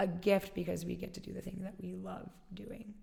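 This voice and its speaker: A woman with an American accent, medium pitch and vocal fry. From Alaska. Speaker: fitness studio founder. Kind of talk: interview.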